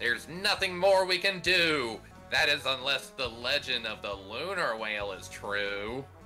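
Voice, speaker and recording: Over clear music in the background, a man puts on a character voice and talks at a fairly slow pace. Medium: game stream. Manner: grave, weary.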